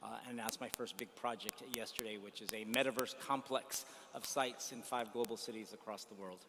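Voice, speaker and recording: A man with an American accent speaks at a fairly quick pace in a monotone, flat intonation, with big swings in loudness and noticeable background noise. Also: medium pitch for a man. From United States. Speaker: blockchain entrepreneur. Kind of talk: panel discussion.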